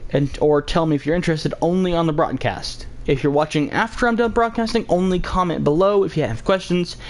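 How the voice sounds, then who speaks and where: Mumbling under noticeable background noise. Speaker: gaming streamer. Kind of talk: live stream chat. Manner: fast.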